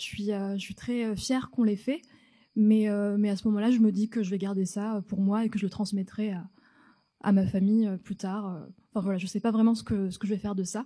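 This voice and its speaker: The recording is very clean, with a silent background. The dark, mellow tone stays monotone and flat at a fairly quick pace. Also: woman, medium pitch for a woman. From France, North African family. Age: 30s. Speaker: storyteller on stage. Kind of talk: personal story told on stage. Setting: theatre stage with audience. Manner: halting, many repetitions.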